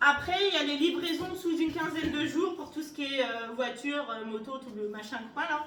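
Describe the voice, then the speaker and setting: A woman speaks loudly and with an animated tone at a moderate pace, with hardly any pauses, in a high pitch with ordinary pitch variation. Audible room echo and noticeable background noise fill the recording. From northern France, Soissons (Aisne). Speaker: game show contestant. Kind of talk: radio interview. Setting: radio studio.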